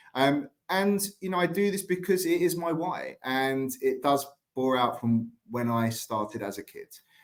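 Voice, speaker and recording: Speaking with an English accent and lively intonation, a man talks at a fairly slow pace and fairly high pitch, with hardly any pauses. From England, London. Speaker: staffing company president. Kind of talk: conference talk.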